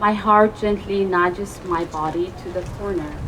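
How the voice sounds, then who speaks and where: Over noticeable background noise, a woman talks at a fairly slow pace with a medium pitch and fairly even intonation. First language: not English. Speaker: open mic poet. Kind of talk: poetry reading. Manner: halting.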